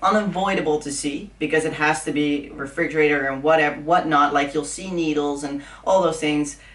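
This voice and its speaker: Noticeable background noise and audible room echo surround a woman's very deep, low voice, delivered in a Dutch accent with fairly even intonation. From Netherlands. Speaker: fitness influencer. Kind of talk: casual chat.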